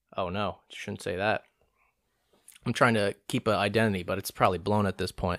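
A fairly low-pitched man's voice with an American accent, animated and fairly quick but with long, frequent pauses, dry and close with no echo, on a very clean recording with a silent background. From Orange County, California. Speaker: podcaster. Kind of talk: casual solo monologue with impressions. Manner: chatty, joking, animated; talks a lot, rambling.

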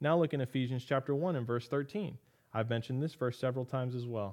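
With an ordinary speaking voice, a man talks at a fairly quick pace in a medium pitch with ordinary pitch variation. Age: 30s. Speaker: pastor and podcast host. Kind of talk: Bible teaching podcast.

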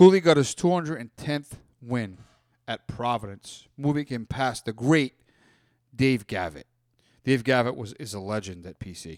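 On a very clean recording with a silent background and a dry, close sound with no echo, a man speaks at medium pitch and a moderate pace, with lively intonation, big swings in loudness, and long, frequent pauses. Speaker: sports radio co-host. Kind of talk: casual sports banter. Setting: college radio studio. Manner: bantering, jokey, interrupts and finishes partner's sentences; opinionated, emphatic.

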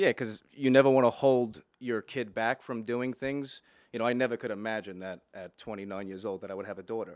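A man with an American accent and a normal speaking voice talks at a fairly quick pace with hardly any pauses, medium pitch, ordinary pitch variation and big swings in loudness, on a very clean recording with a silent background and a dry, close sound with no echo. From Long Island, New York. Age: 30s. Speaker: podcast host, mortgage lender. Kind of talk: casual chat.

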